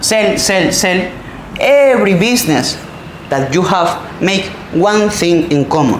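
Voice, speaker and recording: A Spanish accent over noticeable background noise. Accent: Spanish accent, non-native English. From Spain. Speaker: entrepreneur. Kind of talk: motivational talk.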